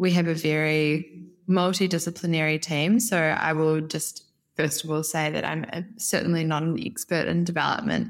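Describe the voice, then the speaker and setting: In a New Zealand accent, a woman talks with a very deep, low pitch and fairly even intonation. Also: moderate pace. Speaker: head of brand at a housing developer. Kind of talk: podcast interview.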